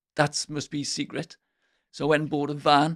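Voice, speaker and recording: A man with an English accent speaks fairly high at a moderate pace. The recording is very clean with a silent background, dry and close with no echo. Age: 60s. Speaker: window sales trainer. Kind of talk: podcast interview.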